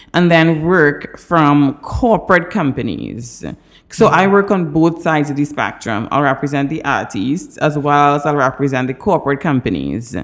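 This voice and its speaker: Her voice is very deep and low for a woman. The intonation is lively. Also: moderate pace. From Trinidad. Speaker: entertainment lawyer. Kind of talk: interview.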